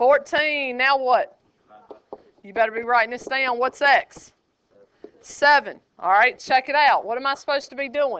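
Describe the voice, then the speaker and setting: Her voice is raised and projected, high-pitched, with ordinary pitch variation. The woman speaks at a fairly slow pace. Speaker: high school geometry teacher. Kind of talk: classroom lecture. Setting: classroom. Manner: animated.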